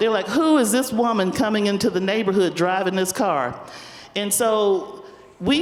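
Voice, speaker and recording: Speaking with a Southern US accent, a woman has a medium pitch, a moderate pace and lively intonation. Noticeable background noise and audible room echo come through. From US South, Spartanburg, South Carolina. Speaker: community foundation leader. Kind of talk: panel discussion. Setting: stage with audience.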